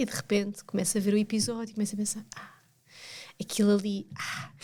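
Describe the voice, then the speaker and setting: A woman with a European Portuguese accent talks at a very fast pace in a monotone, flat delivery that is somewhat breathy, her loudness swinging widely. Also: medium pitch for a woman. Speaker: podcast co-host. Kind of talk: casual chat.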